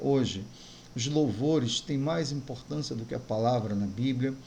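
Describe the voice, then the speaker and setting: A somewhat breathy man with a dark, mellow tone, at a fairly slow pace, amid audible room echo. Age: 60s. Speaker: pastor. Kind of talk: sermon.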